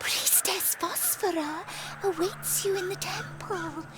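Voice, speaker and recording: A put-on character voice at a fairly slow pace, over loud background noise. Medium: machinima. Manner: formal, stately.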